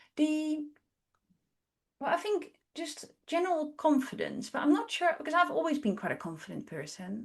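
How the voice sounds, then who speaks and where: A woman speaks with lively intonation. Her pace is fairly quick. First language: not English. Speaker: artist and educator. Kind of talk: interview.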